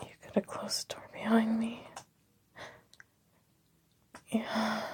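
Whispering slowly, a woman's voice carries a husky, rough edge.

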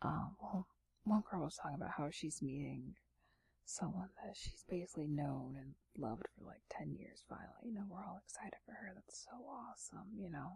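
A woman speaks at a fairly low pitch with a husky, rough edge and vocal fry. Her tone is slightly mellow, her pace moderate and her intonation lively.

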